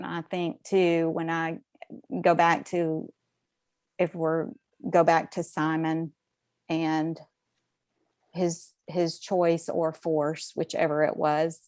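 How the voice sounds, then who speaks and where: Very slowly, a woman talks in a flat monotone with a fairly low pitch, leaving long, frequent pauses. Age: 60s. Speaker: podcast panelist. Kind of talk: casual chat. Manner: halting.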